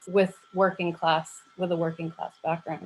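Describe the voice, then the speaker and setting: A woman speaks with an American accent at a fairly low pitch. Her intonation is monotone and flat. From United States. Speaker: academic researcher, conference panelist. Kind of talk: academic panel discussion. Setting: video call. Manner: halting, many fillers.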